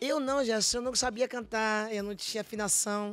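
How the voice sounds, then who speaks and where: Over faint music in the background, a woman with a fairly high voice talks at a fairly slow pace with fairly even intonation in a dry sound with no echo. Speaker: gospel singer; guest. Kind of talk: testimony. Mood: emotional, earnest testimony. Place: studio. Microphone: studio mic.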